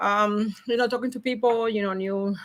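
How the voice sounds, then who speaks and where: With a Cuban accent, a woman talks at a fairly quick clip in a fairly high, bright and sharp voice with ordinary pitch variation. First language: Spanish. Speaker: logistics professional. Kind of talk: podcast interview. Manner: animated, high energy; halting, repetitive.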